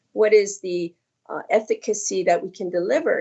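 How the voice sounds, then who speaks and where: Lively in intonation, this is a normal speaking voice at a moderate pace. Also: woman. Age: 60s. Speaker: skincare company founder. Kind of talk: casual chat.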